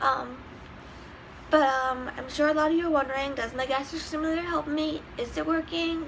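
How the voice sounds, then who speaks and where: Against noticeable background noise, a woman with a high voice speaks at a moderate pace. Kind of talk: casual talk to camera.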